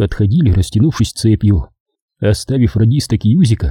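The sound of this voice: This is an unforced reading voice. Behind it the background is quiet.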